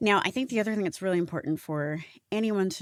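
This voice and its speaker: Recorded very cleanly against a silent background, the voice carries an American accent and ordinary pitch variation. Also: woman. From US. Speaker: diversity consultant and business founder. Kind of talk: podcast interview. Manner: animated.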